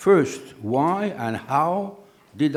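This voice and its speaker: The speaker is a man. He uses lively intonation. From northern France (Oise). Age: 80s+. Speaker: scientist. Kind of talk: lecture.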